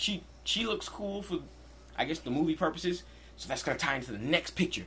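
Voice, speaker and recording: This man talks at a fairly quick clip, his pitch fairly high. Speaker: youtuber. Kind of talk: casual vlog commentary. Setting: in his room. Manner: fast.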